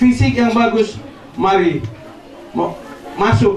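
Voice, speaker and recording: Noticeable background noise and audible room echo are both present in the clip. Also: man. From Lembata, East Nusa Tenggara, Indonesia. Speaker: retired navy soldier. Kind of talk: ceremonial speech.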